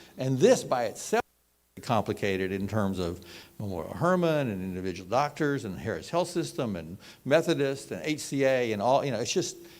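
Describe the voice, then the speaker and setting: A man with an American accent, vocal fry and very wide pitch swings, on a very clean recording with a silent background. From Texas. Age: 60s. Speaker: healthcare financing expert. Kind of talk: presentation. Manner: halting, many fillers and repeats.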